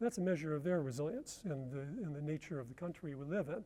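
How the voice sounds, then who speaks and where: On a very clean recording with a silent background, a man with an American accent speaks in a dark, mellow tone with ordinary pitch variation. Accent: American, noticeable. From US Midwest, Detroit. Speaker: researcher and conference speaker. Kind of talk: conference presentation.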